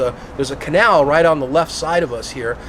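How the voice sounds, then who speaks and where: The man talks at a very fast pace in an animated tone. Background noise is noticeable. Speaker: fruit tree grower and video host. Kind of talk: casual backyard interview. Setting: outdoors in a backyard.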